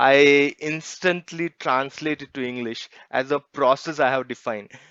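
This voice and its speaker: A fairly high-pitched man with a Marathi accent and ordinary pitch variation, dry and close with no echo, against a quiet background. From India, Marathi-speaking region. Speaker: poet. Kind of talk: interview.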